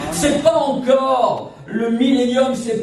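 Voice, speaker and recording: Noticeable background noise and audible room echo surround a man's voice. His pitch varies in an ordinary way. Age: 60s. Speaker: evangelist singer and preacher. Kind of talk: sermon. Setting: church service.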